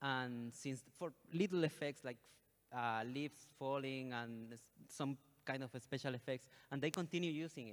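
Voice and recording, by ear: A man speaks at a moderate pace in a medium pitch. His pitch varies in an ordinary way.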